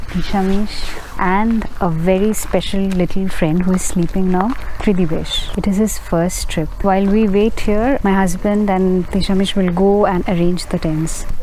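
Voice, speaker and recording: Soft-spoken, a woman with a Bengali accent talks at a moderate pace in a monotone, flat intonation with very even loudness, with audible room echo and noticeable background noise. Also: medium pitch for a woman. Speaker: travel vlogger. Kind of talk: vlog narration. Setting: outdoors at night. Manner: soft-spoken, low volume.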